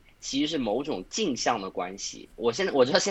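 This man speaks very fast. Lively intonation colors his delivery. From Suzhou, China. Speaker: podcast host and online video maker. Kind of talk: casual chat.

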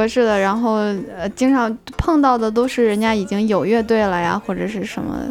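With music playing in the background, a woman speaks at a fairly high pitch with ordinary pitch variation. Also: moderate pace. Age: 20s. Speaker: musician. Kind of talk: casual interview. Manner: hesitant, many fillers.

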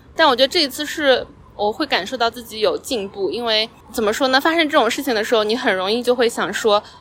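Noticeable background noise accompanies a woman's fairly high voice. She talks fairly quickly with lively intonation. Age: 30s. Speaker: podcast host. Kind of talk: casual monologue. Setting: outdoors on a park bench.

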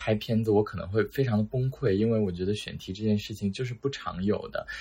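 A man talks at a fairly quick pace in a somewhat breathy, medium-pitched voice with ordinary pitch variation. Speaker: new journalism graduate job seeker. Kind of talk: casual chat.

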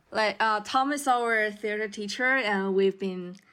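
A woman with a Chinese accent and ordinary pitch variation. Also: very clean recording, silent background. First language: Mandarin Chinese. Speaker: podcast co-host, student. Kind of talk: casual chat.

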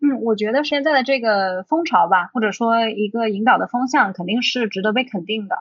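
In an ordinary speaking voice, a woman talks at a fairly quick pace with hardly any pauses, fairly high pitch and ordinary pitch variation. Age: young. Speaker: film director and producer. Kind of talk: casual chat.

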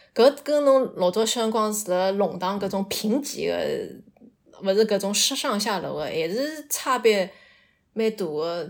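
On a very clean recording with a silent background, a woman speaks at a moderate pace and medium pitch with lively intonation. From Shanghai. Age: 30s. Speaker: storyteller guest. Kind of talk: personal storytelling. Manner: halting.

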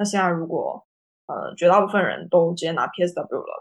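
The background is quiet while this woman talks at a moderate pace. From China. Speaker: marketing professional. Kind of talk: panel talk on video call. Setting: video call.

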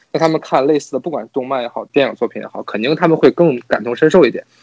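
Very fast speech from a man, fairly high in pitch. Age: 30s. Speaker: podcast guest. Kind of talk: casual chat.

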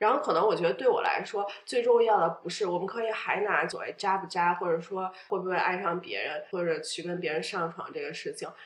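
A woman at a medium pitch with ordinary pitch variation, talking at a fairly quick pace with hardly any pauses, over noticeable background noise. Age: 30s. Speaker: podcast guest sharing divorce story. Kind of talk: personal interview.

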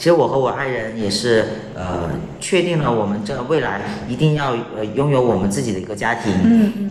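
With audible room echo and noticeable background noise, a man talks at a medium pitch with lively intonation. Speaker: transgender man, LGBT fertility helper. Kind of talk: casual interview. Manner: halting.

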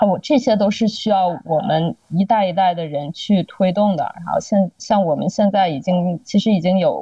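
Speaking at a fairly slow pace, a woman has a somewhat breathy voice with ordinary pitch variation. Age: 30s. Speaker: podcast guest. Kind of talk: casual chat. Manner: halting, many fillers and repeats.

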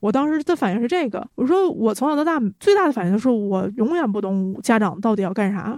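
Very fast speech from a woman with very wide pitch swings, dry and close with no echo, against a quiet background. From Northeast China. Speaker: comics company founder and producer. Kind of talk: casual chat.

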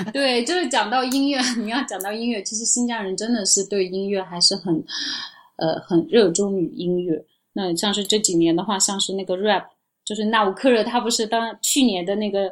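This woman has an unremarkable speaking voice. Her pitch is medium, with ordinary variation. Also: moderate pace. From Urumqi, Xinjiang, China. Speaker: travel agency owner. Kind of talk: casual chat.

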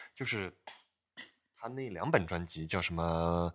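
The recording is very clean with a silent background, and the man in it speaks fairly slowly. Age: young. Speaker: bass player, podcast co-host. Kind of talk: casual chat.

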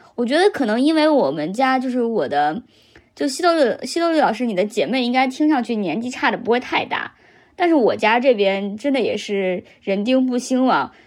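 This woman's voice is high in pitch. It moves through very wide pitch swings. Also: moderate pace. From Henan, central China. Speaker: podcast host. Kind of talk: casual chat.

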